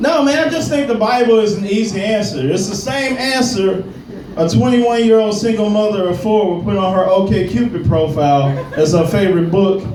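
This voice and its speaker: With audible room echo and noticeable background noise, a man speaks at a high pitch with lively intonation. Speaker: stand-up comedian. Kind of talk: stand-up. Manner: slow.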